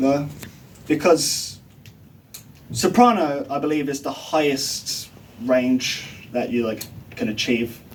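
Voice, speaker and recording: A man's fairly high voice with lively intonation at a very slow pace, amid noticeable background noise. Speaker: music student. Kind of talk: class presentation; answering questions.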